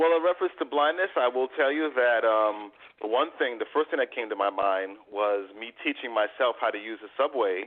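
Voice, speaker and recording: A man with a New York accent, ordinary pitch variation and a moderate pace. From New York City. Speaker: life coach and motivational speaker. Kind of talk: interview.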